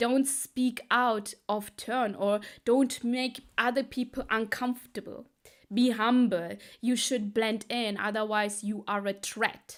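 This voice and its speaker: A woman with a non-native accent speaks very slowly in a fairly high, monotone, flat voice. The recording is very clean, with a silent background. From Sri Lankan Tamil heritage, raised in Germany. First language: Tamil. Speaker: business coach. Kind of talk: casual talk to camera.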